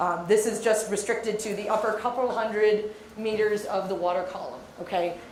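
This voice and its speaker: A woman's fairly high voice in monotone, flat intonation at a fairly quick pace, with audible room echo and noticeable background noise. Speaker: marine geologist. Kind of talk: lecture. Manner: loud.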